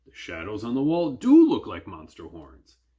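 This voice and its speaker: This is a put-on character voice. It goes at a moderate speed. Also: man, medium pitch for a man. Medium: read story. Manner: gruff, stammering when scared.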